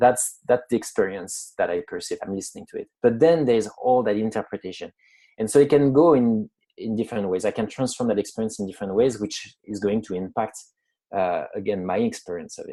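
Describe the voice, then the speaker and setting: Speaking fairly quickly with a French accent, a man has a dark, mellow tone and ordinary pitch variation. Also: medium pitch for a man. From France. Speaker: psychologist. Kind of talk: interview. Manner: hesitant, many fillers.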